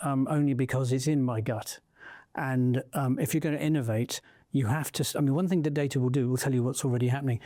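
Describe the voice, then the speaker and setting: A man's dark, mellow voice at medium pitch, very fast in pace with fairly even intonation, on a very clean recording with a silent background. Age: 60s. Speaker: entrepreneur and investor. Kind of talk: interview conversation. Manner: halting, many fillers.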